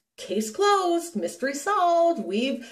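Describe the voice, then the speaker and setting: A woman speaks with very wide swings in pitch. Her voice is somewhat breathy. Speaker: paranormal researcher and vlogger. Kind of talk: casual vlog monologue. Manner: hesitant, many fillers and restarts.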